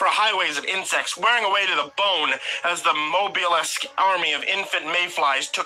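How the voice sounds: A natural reading voice moves through ordinary pitch variation.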